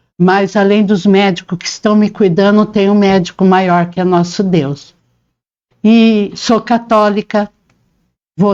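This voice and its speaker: A woman speaks at a very slow pace with monotone, flat intonation and long, frequent pauses. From Paraná, Brazil (born in interior São Paulo). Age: 60s. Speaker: interviewee, reporter's mother, homemaker. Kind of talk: interview, life story.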